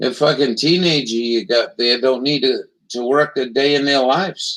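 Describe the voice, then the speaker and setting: A man's plain, everyday voice with an American accent, fairly high in pitch, at a moderate pace with fairly even intonation. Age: 60s. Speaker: political commentary livestreamer. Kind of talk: casual chat.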